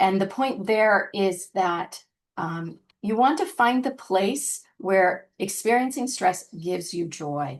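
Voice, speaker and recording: At a very slow pace, a woman with an American accent talks at a medium pitch with lively intonation. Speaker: scientist, webinar presenter. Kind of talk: webinar presentation. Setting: online webinar. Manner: hesitant, with many fillers.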